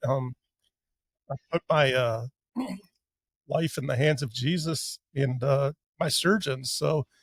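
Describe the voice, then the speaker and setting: A somewhat breathy man at a very slow pace, with long, frequent pauses and a dry, close sound with no echo. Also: fairly high pitch for a man, ordinary pitch variation. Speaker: cancer patient sharing his story. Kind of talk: podcast testimony. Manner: halting with many fillers.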